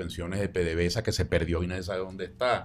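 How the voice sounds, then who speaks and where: A man with a Venezuelan accent talks at a very fast pace in a very deep, low pitch. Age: 70s. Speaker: sociologist, presidential candidate. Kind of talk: interview answer.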